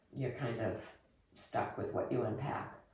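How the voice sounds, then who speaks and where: Noticeable background noise sits behind a woman's voice. The room adds audible echo. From Germany. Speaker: expat interviewee. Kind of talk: interview.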